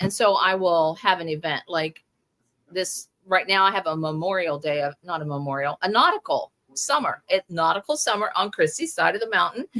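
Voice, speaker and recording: A woman with a normal speaking voice talks at a medium pitch and a moderate pace. Her intonation is lively, and the sound is dry and close with no echo. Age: 60s. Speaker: crochet pattern designer. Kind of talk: interview.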